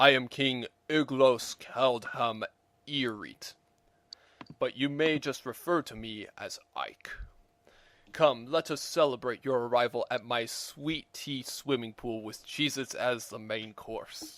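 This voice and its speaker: A man's put-on character voice at medium pitch, with fairly even intonation and a fairly slow pace. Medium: read story.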